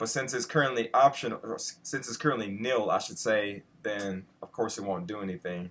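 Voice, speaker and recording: An ordinary speaking voice moves at a fairly quick pace with hardly any pauses. Pitch varies in an ordinary way while loudness swings widely. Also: man, medium pitch for a man. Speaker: coding tutorial host. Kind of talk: tutorial. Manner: casual, with many fillers.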